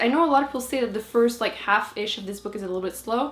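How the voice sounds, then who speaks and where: Speaking with a French Canadian accent, a woman uses lively intonation. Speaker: book vlogger. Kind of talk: casual talk to camera.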